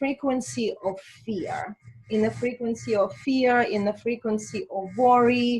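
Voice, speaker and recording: Somewhat breathy, a woman speaks at a very slow pace with ordinary pitch variation. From Azerbaijan. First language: Russian. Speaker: spiritual healer and coach. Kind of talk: interview.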